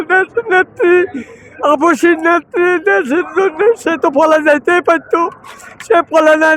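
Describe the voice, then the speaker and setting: Pitched extremely high, a man speaks at very even loudness with ordinary pitch variation, in dry, close sound with no echo and noticeable background noise. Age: 80s+. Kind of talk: street interview answer. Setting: outdoors.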